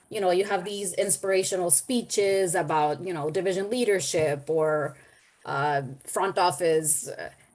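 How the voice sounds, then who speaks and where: A woman speaks with a Spanish accent at medium pitch. Her pace is moderate, with ordinary pitch variation. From El Salvador. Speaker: webinar participant, development professional. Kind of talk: webinar discussion.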